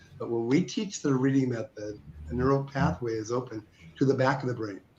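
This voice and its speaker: A man's somewhat breathy voice at a medium pitch, fairly quick in pace, with ordinary pitch variation. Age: 70s. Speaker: reading method author and teacher. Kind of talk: interview. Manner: halting.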